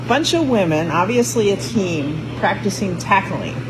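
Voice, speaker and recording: A woman's medium-pitched voice, with noticeable background noise and audible room echo. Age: 60s. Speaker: powerlifter and former rugby player. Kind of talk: interview.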